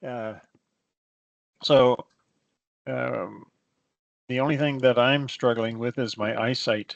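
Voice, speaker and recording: At a very slow pace, a man talks in a medium pitch with fairly even intonation and long, frequent pauses. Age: 70s. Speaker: software report writing instructor. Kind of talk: online class. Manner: halting.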